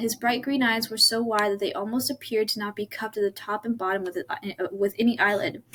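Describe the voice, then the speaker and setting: Through noticeable background noise, a woman speaks very fast at a fairly high pitch with ordinary pitch variation. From Ireland. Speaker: YouTuber. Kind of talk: reading aloud. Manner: halting.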